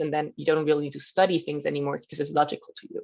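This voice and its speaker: A woman talks at a very fast pace in a Swiss German accent. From German-speaking Switzerland. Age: 20s. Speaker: professional volleyball player. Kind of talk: podcast interview. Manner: hesitant, many fillers.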